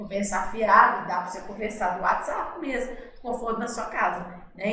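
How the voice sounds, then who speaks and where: Audible room echo surrounds a woman's voice. Her pitch is medium and her intonation fairly even. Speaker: veterinarian and vocational teacher. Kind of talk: educational podcast talk.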